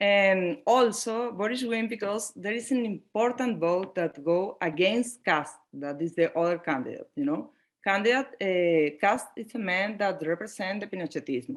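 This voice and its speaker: A woman speaks with a non-native accent at a medium pitch. Her pace is moderate and her intonation lively. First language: Spanish. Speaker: panelist. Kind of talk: panel discussion. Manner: halting.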